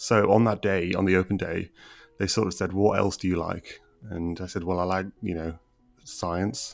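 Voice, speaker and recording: Music plays in the background as a man with a Teesside accent speaks at a moderate pace. His very deep, low pitch carries fairly even intonation. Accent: northern English, Teesside. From Middlesbrough, northern England. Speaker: doctor and medical educator. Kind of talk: casual interview chat.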